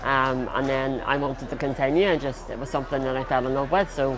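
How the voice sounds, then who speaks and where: Amid crowd noise and audible room echo, a man with a Northern Irish accent speaks at medium pitch. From Northern Ireland. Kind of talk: interview.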